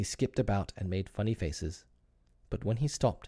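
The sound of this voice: The reading is done in an unforced reading voice whose pitch variation is ordinary.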